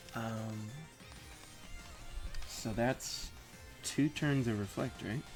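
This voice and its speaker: With music in the background, a man of medium pitch and ordinary pitch variation speaks at a very slow pace, pausing long and often. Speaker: Pokemon draft league player. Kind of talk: gameplay commentary. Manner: hesitant, many filler words.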